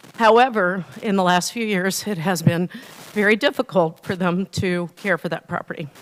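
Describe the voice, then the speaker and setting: A woman with an American accent talks at a moderate pace, with a medium pitch and ordinary pitch variation. The sound is dry and close with no echo, though background noise is noticeable. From Ohio. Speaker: resident speaking at council meeting. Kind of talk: public comment. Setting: council meeting.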